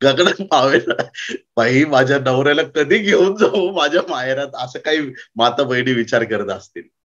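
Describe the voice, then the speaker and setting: A man's intonation rises and falls in a lively way, with quiet all around. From Maharashtra, India. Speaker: pastor. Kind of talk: sermon. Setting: conference with audience. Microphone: lapel.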